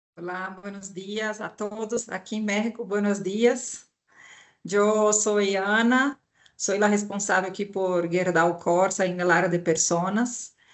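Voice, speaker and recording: With a Brazilian accent, a woman speaks at a very slow pace with fairly even intonation. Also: medium pitch for a woman. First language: Portuguese (speaking Spanish). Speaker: HR director. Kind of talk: webinar panel talk.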